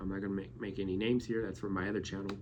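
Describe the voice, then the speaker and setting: A man is speaking. The room echo is audible. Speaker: YouTuber. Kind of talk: casual vlog monologue. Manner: stuttering; halting.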